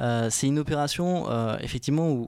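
Over a silent background in a very clean recording, a man speaks at a moderate pace with a dark, mellow tone, medium pitch and ordinary pitch variation. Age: 20s. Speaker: student entrepreneur. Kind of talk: interview.

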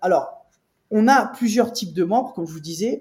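Lively intonation marks an ordinary speaking voice moving at a fairly quick pace. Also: man. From France, Nice. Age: 30s. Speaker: private equity investor. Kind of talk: interview. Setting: office.

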